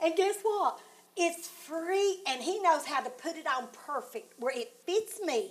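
With an American accent, a woman speaks at an extremely high pitch and with lively intonation. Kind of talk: devotional heart-to-heart chat.

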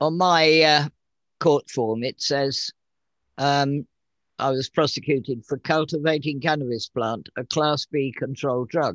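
With an English accent, a man speaks fairly slowly at a fairly high pitch, his intonation fairly even and the sound dry and close with no echo. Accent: English, noticeable. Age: 80s. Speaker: guest, cannabis grower and patient. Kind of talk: interview, casual chat, storytelling.

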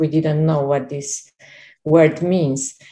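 This woman's pitch is very deep and low. Her tone is dark and mellow. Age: 50s. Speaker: program member asking questions. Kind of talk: question in group call.

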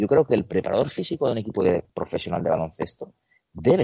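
Very wide pitch swings from a man talking at a fairly quick pace. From Spain, Barcelona (Catalonia). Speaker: basketball strength and conditioning coach. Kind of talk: interview.

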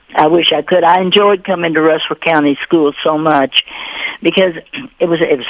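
A woman with a Kentucky accent speaks at a moderate pace and a fairly low pitch. Her pitch varies in an ordinary way, and there is noticeable background noise. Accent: Southern US (Kentucky). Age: 80s+. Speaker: author and retired teacher. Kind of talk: radio interview.

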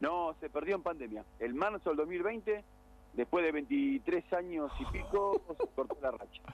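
This man talks at a fairly slow pace, his high voice making very wide pitch swings. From Argentina. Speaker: radio segment reporter on sports clubs. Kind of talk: casual radio chat.

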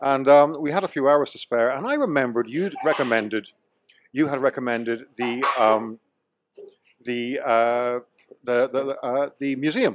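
With an Irish accent, a man speaks at a moderate pace in a medium pitch with ordinary pitch variation. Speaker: returning guest, expat. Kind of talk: casual banter.

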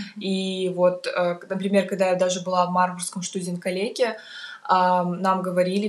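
A woman at a medium pitch amid noticeable background noise. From Kazakhstan, Almaty. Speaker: university student. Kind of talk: casual interview. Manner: halting, many fillers.

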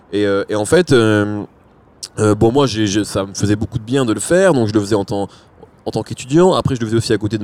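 His pitch sits fairly low. The man speaks very fast. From France, arrived from Algeria age 4. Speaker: rap journalist. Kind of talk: casual chat.

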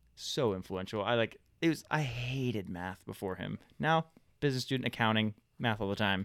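On a very clean recording with a silent background, a man has an unremarkable speaking voice, talking at a fairly quick pace with a fairly low pitch and ordinary pitch variation. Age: 20s. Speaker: podcast co-host. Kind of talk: casual chat. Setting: studio.

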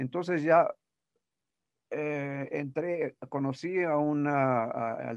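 Here a man speaks with ordinary pitch variation. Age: 80s+. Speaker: voice actor. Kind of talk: interview. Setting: remote call. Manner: halting.

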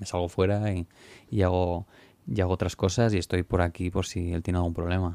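Delivered at a fairly quick pace, the monotone, flat speech has a dry, close sound with no echo on a very clean recording with a silent background. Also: man, very deep, low pitch for a man. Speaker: music producer. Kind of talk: interview. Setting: recording studio. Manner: halting.

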